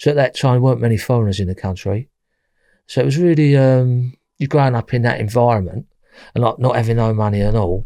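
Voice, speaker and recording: Talking very fast, a man uses a Cockney accent in a medium-pitched voice with a dark, mellow tone and ordinary pitch variation. The recording is very clean, with a silent background. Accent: East London Cockney. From London East End. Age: 60s. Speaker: former armed robber. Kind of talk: interview.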